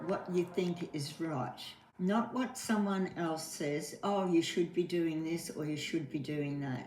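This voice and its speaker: Over music in the background, a woman speaks at a fairly low pitch with lively intonation. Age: 80s+. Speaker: widow. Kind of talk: interview answer.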